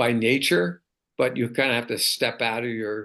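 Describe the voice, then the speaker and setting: His tone is bright and sharp. The man's pitch sits in the medium range. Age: 70s. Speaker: track and field coach. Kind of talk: casual chat.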